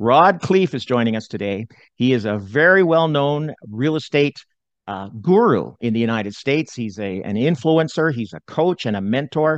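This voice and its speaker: In an unremarkable speaking voice of medium pitch, a man talks at a moderate pace with lively intonation. The sound is dry and close with no echo, over a quiet background. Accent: Canadian. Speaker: real estate podcast host. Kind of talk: podcast interview, conversational.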